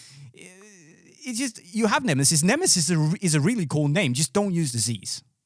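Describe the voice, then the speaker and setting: This man has a high pitch, very wide pitch swings, and a Danish accent. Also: moderate pace. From Denmark. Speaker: podcast host. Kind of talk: casual chat.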